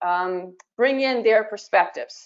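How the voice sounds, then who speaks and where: A woman's unremarkable speaking voice moves fairly slowly, her pitch varying in an ordinary way. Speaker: museum professional. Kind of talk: webinar panel discussion.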